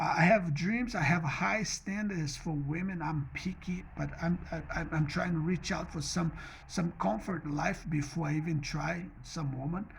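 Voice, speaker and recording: A man in a Portuguese accent with a high pitch, at a fairly slow pace and with hardly any pauses. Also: ordinary pitch variation. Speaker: vlogger. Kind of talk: personal monologue vlog. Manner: mumbling; halting, repetitive.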